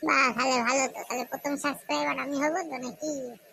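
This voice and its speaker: A woman does a cartoonish character voice at a high pitch, talking at a fairly quick pace with fairly even intonation. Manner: eager, supportive.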